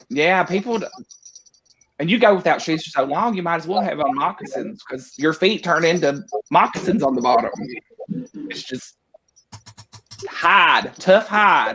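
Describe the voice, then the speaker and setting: Moderate pace with long, frequent pauses over music in the background. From Eastern Kentucky. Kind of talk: casual chat.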